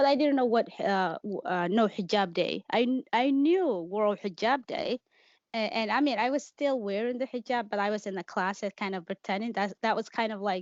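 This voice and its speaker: A woman speaks with a Somali accent at a fairly high pitch. Her intonation is lively. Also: moderate pace. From Kenya, refugee camp, Somali family. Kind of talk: interview testimony. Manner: halting.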